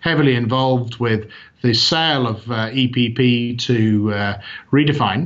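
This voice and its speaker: This man talks with a British accent at a medium pitch. His pitch varies in an ordinary way. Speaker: company CEO. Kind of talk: interview. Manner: hesitant, many fillers.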